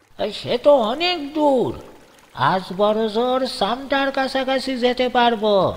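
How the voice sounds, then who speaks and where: A put-on character voice with ordinary pitch variation at a fairly slow pace. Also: man, extremely high pitch for a man. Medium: read story. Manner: blunt, commanding.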